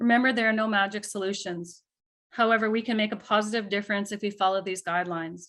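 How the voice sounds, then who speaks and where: On a very clean recording with a silent background, a woman uses an ordinary speaking voice at medium pitch, talking at a fairly quick pace with fairly even intonation. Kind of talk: lecture.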